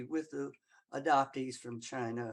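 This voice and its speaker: Here a woman speaks with a Southern US accent. Her pace is fairly slow. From US South. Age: 80s+. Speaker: audience member. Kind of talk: audience comment in Q&A. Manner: halting.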